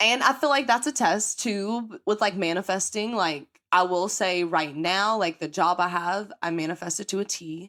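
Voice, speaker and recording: On a very clean recording with a silent background, a woman with an American accent talks at a medium pitch with ordinary pitch variation, her tone bright, sharp and animated, with hardly any pauses. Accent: country accent, comes out strong. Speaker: podcast host. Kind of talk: casual chat. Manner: fast.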